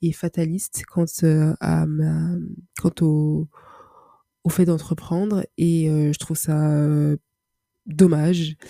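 The voice has a dark, mellow tone and monotone, flat intonation, with a dry, close sound, no echo, and a very clean recording over a silent background. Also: woman. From Paris, France. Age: 20s. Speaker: podcaster. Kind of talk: solo monologue. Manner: halting, many repetitions and fillers.

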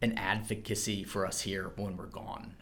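This is an ordinary speaking voice from a man, pitched fairly low. His intonation stays fairly even. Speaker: future missionary. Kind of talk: personal testimony.

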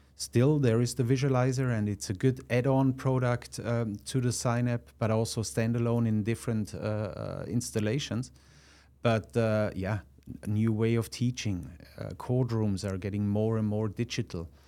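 On a very clean recording with a silent background, a man with a slight Austrian accent speaks at a moderate pace in a medium pitch, with ordinary pitch variation and a dark, mellow tone. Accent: Austrian-accented English, mild. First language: German. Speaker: product manager. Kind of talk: casual interview. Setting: studio. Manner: halting, many fillers.

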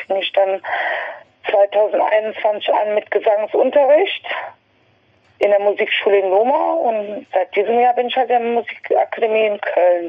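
A woman's medium-pitched voice, fairly slow in pace, with ordinary pitch variation. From western Germany, Westerwald (Rhineland-Palatinate). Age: 50s. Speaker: podiatrist and amateur singer. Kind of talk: interview conversation. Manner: halting, many fillers.

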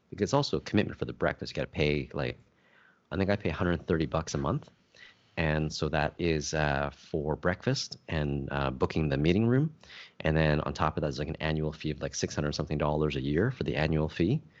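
A man speaks at a very fast pace with vocal fry. His pitch is very deep and low, with ordinary pitch variation. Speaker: podcast co-host. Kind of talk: casual chat.

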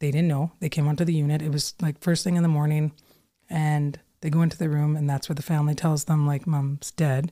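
On a very clean recording with a silent background, a woman speaks at a fairly quick pace in a very deep, low pitch, her tone dark, mellow and calm, her intonation monotone and flat, and her loudness very even. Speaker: registered nurse and author. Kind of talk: casual interview chat. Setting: studio with headset.

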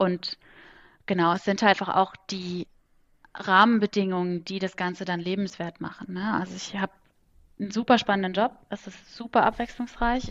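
A woman speaks in a plain, everyday voice at a medium pitch and a moderate pace, with fairly even intonation, the sound dry and close with no echo over a quiet background. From Kaiserslautern, Palatinate, Germany. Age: 20s. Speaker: management consultant. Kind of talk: casual interview chat. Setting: home office, remote call.

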